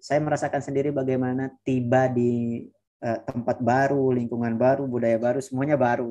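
A man's dark, mellow tone at a fairly quick pace. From West Nusa Tenggara, Indonesia. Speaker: master's student; guest. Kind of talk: presentation in online interview; webinar talk and interview answer. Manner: halting, many fillers. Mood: warm, encouraging. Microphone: video call.

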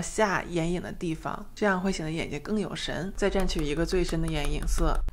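A woman's fairly quick speech over light background noise. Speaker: ASMR creator. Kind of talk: makeup tutorial talking to camera. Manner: normal speaking voice, not whispered. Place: home room. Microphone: studio mic.

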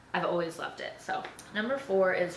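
With audible room echo behind her, a woman talks at a fairly quick pace in a fairly low pitch and a fairly bright tone.

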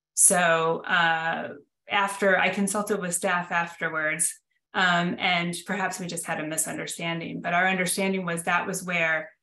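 Audible room echo surrounds a woman's bright, sharp tone. She speaks at a fairly slow pace with little pitch movement.

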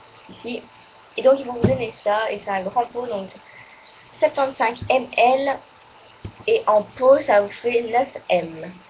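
A high-pitched woman speaks at a very slow pace with long, frequent pauses. Her loudness swings widely, and light background noise is present. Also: ordinary pitch variation. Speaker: beauty vlogger. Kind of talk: casual monthly favourites video. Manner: halting, full of fillers. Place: home room. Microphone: webcam.

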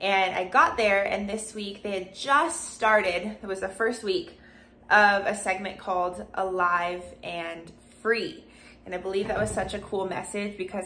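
The woman speaks at a fairly slow pace with fairly even intonation. There is light background noise. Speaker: vlogger. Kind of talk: casual vlog chat. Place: home room. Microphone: phone near.

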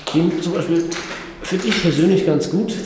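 This is a man's voice with audible room echo. Light background noise can be heard. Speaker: urban explorer vlogger. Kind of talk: casual vlog commentary. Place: tunnel cave. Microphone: phone near.

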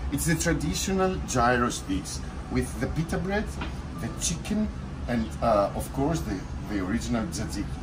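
There is noticeable background noise behind this recording. A man speaks at a moderate pace. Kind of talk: interview answer. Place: cafe. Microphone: phone near.

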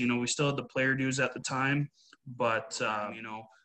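The voice has a bright, sharp tone with a Canadian Prairies accent. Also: man. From Canada, Winnipeg, Manitoba. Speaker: women's hockey coach; hockey coach being interviewed. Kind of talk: interview. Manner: hesitant, many fillers. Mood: relaxed, conversational. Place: home room. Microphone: video call.

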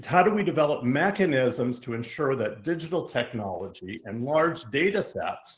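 The voice is somewhat breathy and moves at a moderate pace over a quiet background. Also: man. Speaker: event host introducing speaker. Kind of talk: formal introduction. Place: home room.

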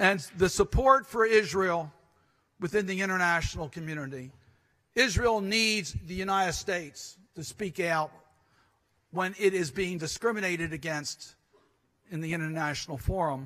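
Over a quiet background, a man with a bright, sharp tone talks at a moderate pace, showing big swings in loudness, ordinary pitch variation and long, frequent pauses. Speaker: politician giving a speech. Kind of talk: conference speech. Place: hall. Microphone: podium.

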